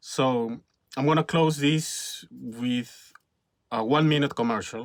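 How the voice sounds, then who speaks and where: A man speaks in a Spanish accent at a very slow pace. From Peru. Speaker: filmmaker and YouTuber. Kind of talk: casual vlog monologue. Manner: halting, many fillers and repetitions.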